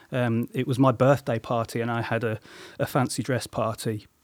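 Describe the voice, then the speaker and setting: A man speaks with a West Midlands accent at a moderate pace. His intonation is monotone and flat. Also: very clean recording, silent background. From English Midlands (Coventry). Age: 40s. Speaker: musician. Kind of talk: interview. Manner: halting, many fillers.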